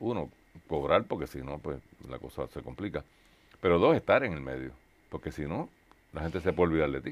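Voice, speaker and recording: With vocal fry and a very deep, low pitch, a man speaks at a fairly quick pace with big swings in loudness. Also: ordinary pitch variation. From Puerto Rico. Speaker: talk show host. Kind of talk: sponsor announcement; casual interview. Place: studio.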